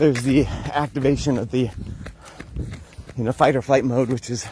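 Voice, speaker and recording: An American accent with fairly even intonation, over noticeable background noise. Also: man, medium pitch for a man. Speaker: wellness vlogger. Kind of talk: casual vlog talk. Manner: fast.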